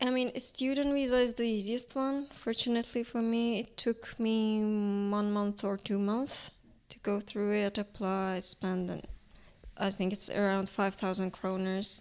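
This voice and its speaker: In a Turkish accent, a woman talks at a fairly slow pace with a fairly high pitch. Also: fairly even intonation. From Iran. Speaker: painter and art student. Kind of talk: casual interview about her art. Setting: studio.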